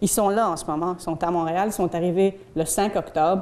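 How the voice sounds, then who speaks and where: A woman talks at a moderate pace with monotone, flat intonation, her fairly low voice dark and mellow in tone. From Belgium. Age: 40s. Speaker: community educator. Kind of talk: public talk. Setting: stage with audience. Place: hall.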